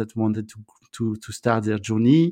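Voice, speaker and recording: Over a quiet background, a man talks at a medium pitch with a French accent. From France. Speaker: entrepreneur, co-living founder. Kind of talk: interview. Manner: halting, hesitant with fillers.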